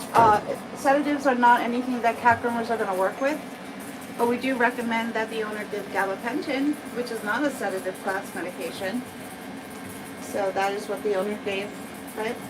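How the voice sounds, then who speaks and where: With an American accent, a woman talks at a fairly quick pace and a fairly high pitch, her pitch varying normally, with long, frequent pauses, audible room echo and noticeable background noise. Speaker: cat groomer. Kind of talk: live stream tutorial with chat. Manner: casual, conversational.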